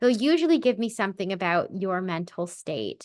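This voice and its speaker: A woman with a plain, everyday voice talks at a medium pitch against a quiet background. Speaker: spiritual medium and podcast host. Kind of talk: casual podcast monologue. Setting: recording with a baby in her arms.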